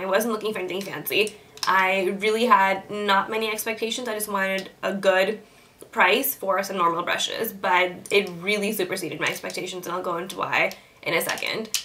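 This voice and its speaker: Over noticeable background noise, a woman speaks at a fairly quick pace with medium pitch and fairly even intonation. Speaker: beauty vlogger. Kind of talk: product review.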